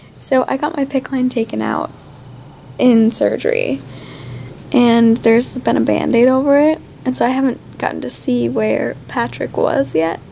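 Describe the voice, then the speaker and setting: A woman speaks at a fairly slow pace with long, frequent pauses. Light background noise can be heard. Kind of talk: casual vlog chat. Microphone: phone near.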